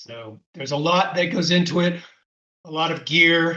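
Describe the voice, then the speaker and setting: A man's high-pitched voice with ordinary pitch variation, at a fairly slow pace. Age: 60s. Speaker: adventure racer. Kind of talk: casual interview. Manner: hesitant, many fillers.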